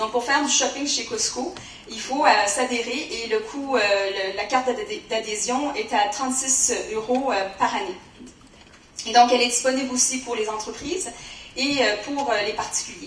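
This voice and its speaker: Speech at a moderate pace with ordinary pitch variation comes through audible room echo and noticeable background noise. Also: woman, high pitch for a woman. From Canada. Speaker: corporate finance director. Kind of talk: conference presentation. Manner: hesitant, many filler sounds.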